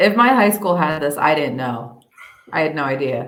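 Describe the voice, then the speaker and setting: There's audible room echo around a woman whose very deep, low pitch rides on lively intonation. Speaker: radio host. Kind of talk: casual chat.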